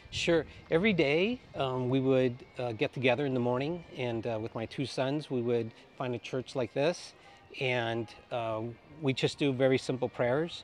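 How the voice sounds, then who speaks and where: A man at a moderate pace with ordinary pitch variation, a dry sound with no echo, and music in the background. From Cuba. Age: 50s. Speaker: pilgrim. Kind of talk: interview. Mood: calm, reflective. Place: street. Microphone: lapel.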